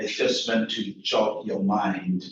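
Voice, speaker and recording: Audible room echo surrounds this man's voice. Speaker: keynote speaker, health researcher. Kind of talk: conference talk. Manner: soft-spoken; repetitive stammering fillers.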